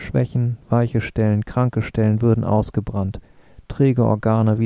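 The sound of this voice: Reading voice, unforced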